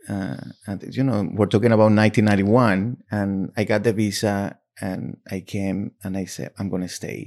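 A man with a Spanish accent talks fairly slowly at a fairly low pitch, with fairly even intonation and big swings in loudness. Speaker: novelist and magazine editor. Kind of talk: interview about his books at a bookstore. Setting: bookstore.

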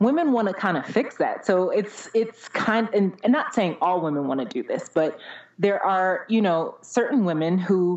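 Lively intonation marks a woman's plain, everyday voice at medium pitch. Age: 30s. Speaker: podcast guest. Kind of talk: casual chat.

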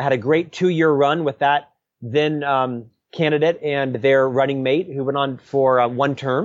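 Using an ordinary speaking voice, a man with an American accent talks at a moderate pace and fairly high pitch with fairly even intonation. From US South, Central Florida. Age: 50s. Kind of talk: interview.

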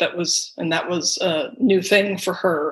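A woman with a normal speaking voice and an American accent, at a moderate pace with fairly even intonation. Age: 50s. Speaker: sister of a missing person. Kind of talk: interview.

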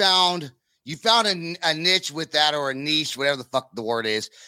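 A man with an American accent talks at a moderate pace in a bright, sharp tone. The recording is very clean, with a silent background and a dry, close sound with no echo. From Northern California. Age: 40s. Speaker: podcast host. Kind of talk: casual chat.

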